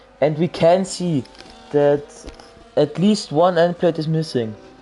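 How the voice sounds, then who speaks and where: Noticeable background noise fills the recording. Over it, a man talks very slowly. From Austria. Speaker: sim racing commentator. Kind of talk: live commentary. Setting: livestream. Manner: animated; halting.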